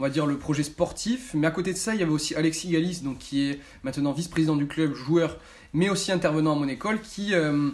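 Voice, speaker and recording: Here a man talks at a very fast pace. His pitch is fairly high, with ordinary pitch variation. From France, Bordeaux area (Gironde). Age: 20s. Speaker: amateur footballer and club intern. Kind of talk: interview answers to camera. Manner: halting, many fillers.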